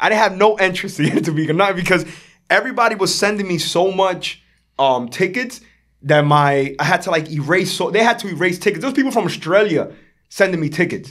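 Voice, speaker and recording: A man with a New York accent speaks at a fairly quick pace in a high pitch, with an animated tone and ordinary pitch variation. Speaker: artist. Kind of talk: interview storytelling. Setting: podcast. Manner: loud.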